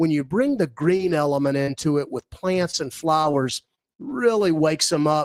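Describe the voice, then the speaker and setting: This man has an unremarkable speaking voice, pitched fairly high, with ordinary pitch variation and a moderate pace. The sound is dry and close, with no echo. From US South. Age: 60s. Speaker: property developer. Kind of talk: radio interview.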